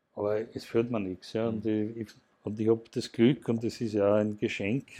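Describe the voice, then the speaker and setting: At a fairly slow pace, a man speaks at a medium pitch in a dark, mellow tone, his intonation monotone and flat. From Austria, Burgenland (Mattersburg). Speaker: broadcaster executive and project manager. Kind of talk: interview. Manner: halting.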